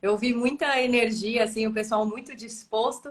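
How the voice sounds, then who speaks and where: A plain, everyday voice, a woman's, fairly high in pitch and at a moderate pace. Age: young. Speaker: physician, live show host. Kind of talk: live interview. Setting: online live stream.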